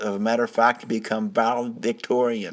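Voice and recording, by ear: A man with a fairly bright tone, ordinary pitch variation and a moderate pace.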